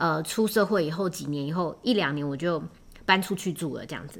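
A woman with a Taiwanese accent, fairly low in pitch with ordinary pitch variation, at a fairly quick pace, in a very clean recording with a silent background. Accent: Taiwanese Mandarin. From Taiwan, Taipei. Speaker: podcast host. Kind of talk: casual solo podcast monologue. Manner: hesitant, many filler words.

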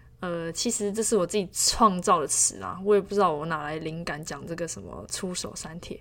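With vocal fry and big swings in loudness, a woman in a fairly low voice talks at a fairly quick pace with hardly any pauses and ordinary pitch variation. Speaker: professional basketball player. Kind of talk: solo podcast monologue. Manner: hesitant, many fillers.

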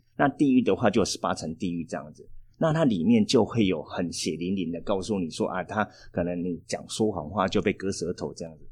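A man with a Taiwanese accent speaks with a very deep, low pitch. His loudness swings widely over a quiet background. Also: ordinary pitch variation, fairly quick pace. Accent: Taiwanese Mandarin. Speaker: tour planning teacher, former tour guide. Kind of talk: casual interview chat.

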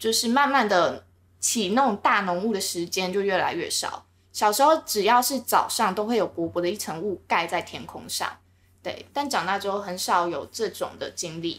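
A woman's normal speaking voice, fairly high-pitched, with lively intonation at a moderate pace. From Taiwan, Linkou (New Taipei). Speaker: podcast co-host. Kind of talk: casual chat.

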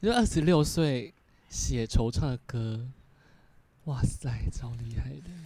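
At a very slow pace, a somewhat breathy man speaks with lively intonation, big swings in loudness and long, frequent pauses. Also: medium pitch for a man. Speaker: podcast co-host. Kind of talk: casual chat.

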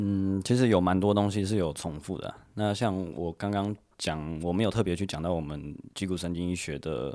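Moderate pace and ordinary pitch variation in an American accent, on a very clean recording with a silent background. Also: man, very deep, low pitch for a man. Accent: American-accented Taiwanese Hokkien. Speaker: chiropractor. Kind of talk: interview.

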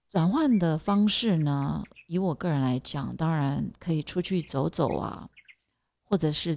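Speaking at a fairly slow pace, a woman uses a very deep, low pitch with ordinary pitch variation. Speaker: podcast host. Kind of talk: casual monologue. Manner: halting, many fillers.

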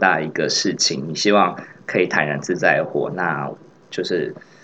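A man at a moderate pace. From Taiwan, Tainan. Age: 30s. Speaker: podcast co-host. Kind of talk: casual chat.

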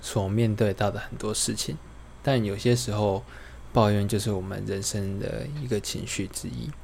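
A man talks with a fairly low pitch and lively intonation. His voice is somewhat breathy, at a moderate pace. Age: 30s. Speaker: podcaster. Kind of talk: casual monologue. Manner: unscripted, rambling with fillers.

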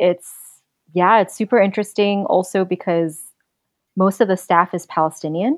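Against a quiet background, a woman with a New York accent speaks at medium pitch and a moderate pace, with ordinary pitch variation. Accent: New York American English. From New York City (Queens). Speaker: traveler. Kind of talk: interview.

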